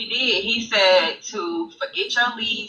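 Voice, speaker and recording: A woman speaks with a Mississippi accent. Her pitch varies in an ordinary way. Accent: Southern US (Mississippi). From Mississippi, US South. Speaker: interview guest. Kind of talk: casual live-stream interview. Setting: live stream.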